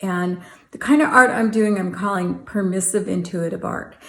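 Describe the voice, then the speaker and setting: Audible room echo surrounds a woman's somewhat breathy voice at a medium pitch. She talks at a fairly slow pace with fairly even intonation. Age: 60s. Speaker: art vlogger. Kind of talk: casual vlog talk.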